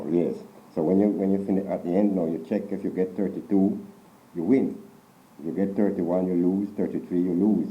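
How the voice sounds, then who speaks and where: Fairly quick, monotone, flat speech from a man with fairly low pitch and a Jamaican accent. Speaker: storyteller. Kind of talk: folktale telling in interview.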